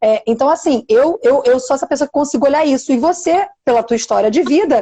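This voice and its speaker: Her high-pitched voice, a woman's, moves through very wide pitch swings. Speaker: podcast host. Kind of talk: casual interview talk.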